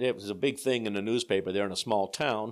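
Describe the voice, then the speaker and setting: An ordinary speaking voice belongs to a man with a fairly low pitch, ordinary pitch variation and an American accent. The recording is very clean, with a silent background. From Pennsylvania, Scranton area. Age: 60s. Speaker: church bishop. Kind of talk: interview. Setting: office.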